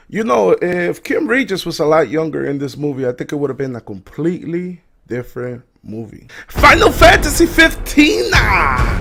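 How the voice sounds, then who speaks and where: A man speaks at a fairly slow pace in an animated tone, his loudness swinging widely. Music plays in the background. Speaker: YouTube movie reviewer. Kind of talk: casual video review.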